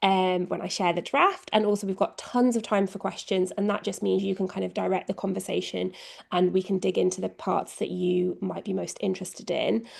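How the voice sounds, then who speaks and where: Fairly quick speech from a woman with an English accent. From England. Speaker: communications lead at a nonprofit. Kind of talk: presentation.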